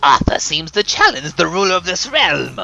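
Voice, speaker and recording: The speaker uses a put-on character voice with a dramatic tone at a moderate pace. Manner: villainous, dramatic.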